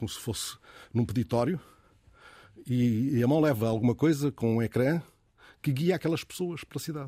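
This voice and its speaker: Moderate pace from a man with a dark, mellow tone and ordinary pitch variation, on a very clean recording with a silent background. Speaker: radio host. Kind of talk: casual chat. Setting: studio.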